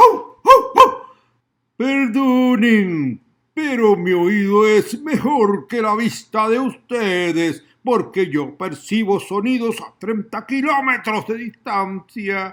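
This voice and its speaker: A man puts on a character voice pitched high and speaks at a very slow pace. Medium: read story. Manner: polite, boastful.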